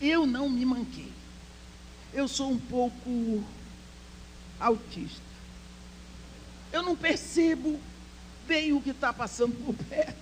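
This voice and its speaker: This woman talks at a very slow pace. Long, frequent pauses break up what she says. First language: English (speaking Portuguese). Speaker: speaker at women's church conference. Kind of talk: sermon.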